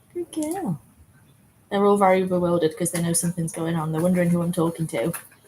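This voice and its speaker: A woman with a fairly low pitch speaks at a moderate pace against noticeable background noise. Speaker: dog owner vlogger. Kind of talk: casual live-stream chat. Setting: outdoors in the yard by a pool, in the rain. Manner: telephone voice. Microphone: laptop mic.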